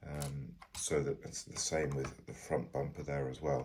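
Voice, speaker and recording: A man with a very deep, low pitch speaks at a moderate pace. His intonation is monotone and flat, with vocal fry. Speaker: toy review youtuber. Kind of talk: product review. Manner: hesitant, many fillers.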